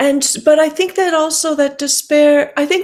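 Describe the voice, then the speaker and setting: Speaking at a fairly slow pace, a woman has a dark, mellow tone. The recording is very clean, with a silent background. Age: 60s. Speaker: writer and climate activist. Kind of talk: interview conversation.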